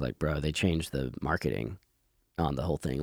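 Vocal fry runs through fairly quick speech with fairly even intonation and a dry, close sound with no echo. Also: man. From US South, Georgia (Conyers). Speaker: rock band lead singer. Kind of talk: casual interview. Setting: in person.

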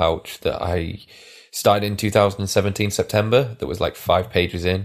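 A man's fairly low voice, an unremarkable speaking voice, with fairly even intonation and a moderate pace, captured on a very clean recording with a silent background. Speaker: podcast co-host. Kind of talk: casual chat.

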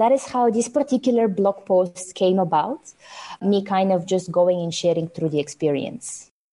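In a Bulgarian accent, a woman with a medium pitch and a dark, mellow tone talks at a moderate pace with lively intonation. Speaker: software developer. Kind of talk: casual interview.

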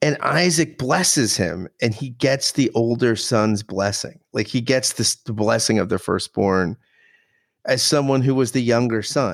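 A man with an American accent speaks at a fairly slow pace in medium pitch, with ordinary pitch variation, in an unremarkable speaking voice. The sound is dry and close with no echo, on a very clean recording with a silent background. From United States. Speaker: podcast co-host. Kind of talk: casual chat.

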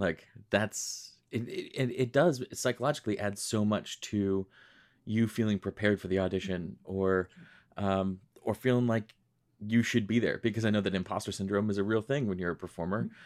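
A man's normal speaking voice with an American accent, fairly low in pitch, at a moderate pace with ordinary pitch variation, on a very clean recording with a silent background. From Western New York, Rochester. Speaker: podcast host and singer. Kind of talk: interview.

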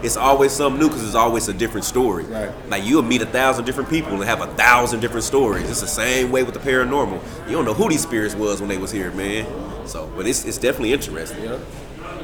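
Over music in the background, a man of medium pitch talks at a very fast pace with ordinary pitch variation and hardly any pauses. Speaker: paranormal investigator, TV cast member. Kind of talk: casual group interview.

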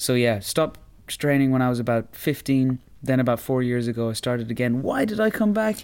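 A man with an Irish accent talks at a fairly quick pace. His medium-pitched voice swings very widely in pitch. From Ireland, Roscommon. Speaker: karate practitioner and podcast co-host. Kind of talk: casual chat.

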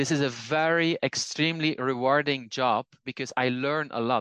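A man speaks at a moderate pace in a monotone, flat intonation, the sound dry and close with no echo over a quiet background. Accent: Dutch. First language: Dutch. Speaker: language teacher and polyglot. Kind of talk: casual conversation.

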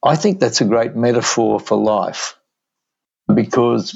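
With an Australian accent, a man speaks fairly slowly at a medium pitch, with vocal fry. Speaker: entrepreneur. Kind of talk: interview.

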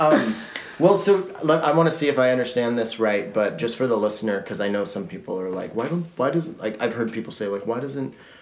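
Against noticeable background noise, a man with an American accent talks at medium pitch and a fairly quick pace. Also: lively intonation. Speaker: podcast host. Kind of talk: casual interview chat. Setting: studio, in person.

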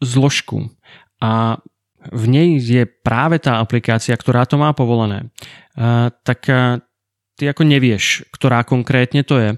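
In a Slovak accent, a man speaks very slowly at a medium pitch. The sound is dry and close, with no echo. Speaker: tech podcast co-host. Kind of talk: casual chat.

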